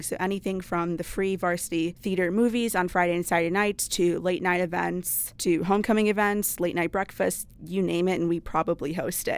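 On a very clean recording with a silent background, a woman speaks in an unremarkable speaking voice at a fairly quick pace, with a fairly low pitch and fairly even intonation. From Wisconsin. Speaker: student government president. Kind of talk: casual chat.

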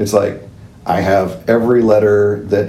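Over noticeable background noise and audible room echo, a man with an American accent talks at a moderate pace in a fairly low pitch. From Southern California. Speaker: historian and George Washington reenactor. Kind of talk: interview.

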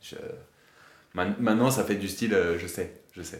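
The speaker is a man. Room echo can be heard. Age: 30s. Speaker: amateur bodybuilder sharing doping experience. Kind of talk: testimony.

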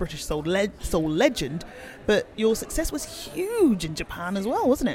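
At a moderate pace, a man talks with a Birmingham accent. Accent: Birmingham (Brummie) English. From Birmingham, England. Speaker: podcast host. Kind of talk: interview. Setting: bar.

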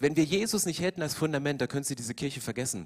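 A man speaks at a fairly high pitch. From eastern Germany. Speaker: pastor. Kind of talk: sermon. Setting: church.

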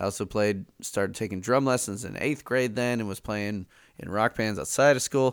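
Man with an American accent and an unremarkable speaking voice, fairly low in pitch with ordinary pitch variation, at a moderate pace in a very clean recording with a silent background. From Chicago. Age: 30s. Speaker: music teacher and podcaster. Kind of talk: casual chat.

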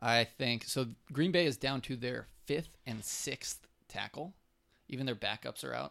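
Slowish and bright with a sharp edge, a man's voice shows vocal fry and ordinary pitch variation. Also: medium pitch for a man. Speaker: sports podcast co-host. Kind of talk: casual chat.

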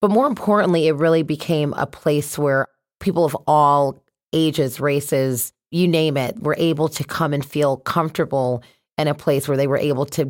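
In a very clean recording with a silent background, a woman with a very deep, low pitch speaks at a moderate pace. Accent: American. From Connecticut, US. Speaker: brewery founder and dance studio owner. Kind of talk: interview. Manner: animated.

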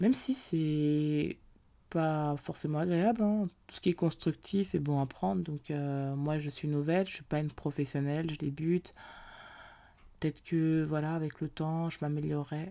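A woman with a very deep, low pitch speaks at a fairly slow pace with ordinary pitch variation in a very clean recording with a silent background. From France. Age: 20s. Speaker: podcast host. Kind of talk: casual monologue. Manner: hesitant, many fillers.

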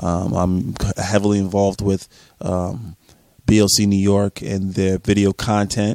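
Here a man speaks with a fairly low pitch. His tone is dark and mellow. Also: dry, close sound with no echo. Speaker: guest. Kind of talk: casual banter, heated argument. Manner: animated, rapid-fire, emphatic.

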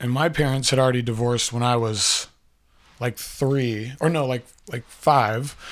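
In a very clean recording with a silent background, a man uses a normal speaking voice at a moderate pace with fairly even intonation. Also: medium pitch for a man. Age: 30s. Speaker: podcast host telling life story. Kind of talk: personal storytelling monologue. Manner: casual, rambling with many fillers.

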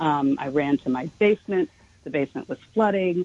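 A woman's fairly low, unremarkable speaking voice in an American accent, with lively intonation, a fairly quick pace, and a dry, close sound with no echo. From New York City, Manhattan. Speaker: journalist and author. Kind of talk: radio interview.

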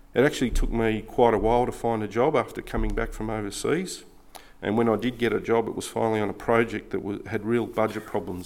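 This man talks fairly quickly. He has an Australian accent. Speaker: baptism candidate. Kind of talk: testimony.

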